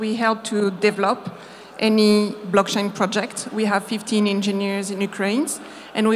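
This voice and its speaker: A woman with a French accent talks at a moderate pace and a medium pitch, in a monotone, flat intonation. Noticeable background noise is present. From France. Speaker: marketing agency founder. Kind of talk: conference talk. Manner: halting.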